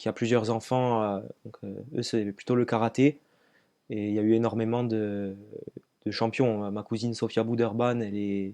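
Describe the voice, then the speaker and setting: A man's fairly slow, fairly low-pitched voice with a dark, mellow tone, monotone, flat intonation and long, frequent pauses. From southern France, Var (Brignoles). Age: 20s. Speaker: long-distance runner and trail athlete. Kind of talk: interview. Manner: hesitant, many fillers.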